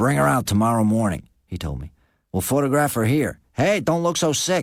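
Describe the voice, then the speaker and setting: Putting on a character voice, a man speaks at a moderate pace with medium pitch and very wide pitch swings. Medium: read story. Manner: gruff, blunt.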